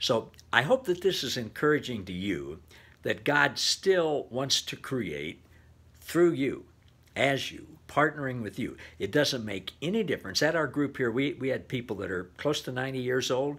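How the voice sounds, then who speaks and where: A man talks at a moderate pace with lively intonation and vocal fry. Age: 70s. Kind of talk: devotional talk. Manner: casual with frequent fillers. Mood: warm, enthusiastic, encouraging. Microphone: webcam.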